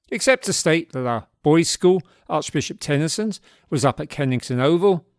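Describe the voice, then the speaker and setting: A man with a Cockney accent talks at a moderate pace with lively intonation and a fairly high pitch, in a dry, close sound with no echo. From South London. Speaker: podcast host, former fanzine editor. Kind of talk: scripted narration; casual chat. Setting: video call.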